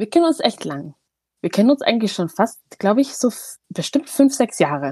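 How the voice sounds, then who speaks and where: Recorded with a dry, close sound and no echo, a woman speaks at a moderate pace in a fairly high pitch, her tone dark and mellow with vocal fry and very wide pitch swings. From Eritrea, moved to Germany at eight. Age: 30s. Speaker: kindergarten manager. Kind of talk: casual chat.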